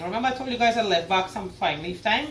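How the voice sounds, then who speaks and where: At a fairly quick pace, a woman talks with an animated tone and lively intonation, amid audible room echo and noticeable background noise. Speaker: cooking video host. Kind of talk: cooking tutorial.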